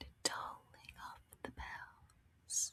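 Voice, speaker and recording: A woman is whispering. Her voice stays hushed throughout. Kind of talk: ASMR soft-spoken travel roleplay. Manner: soft-spoken, whispery.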